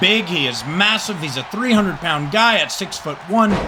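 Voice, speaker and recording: With lively intonation, a man talks in a raised, projected voice at a fairly quick pace over noticeable background noise. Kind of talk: wrestling play-by-play commentary. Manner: conversational, rambling.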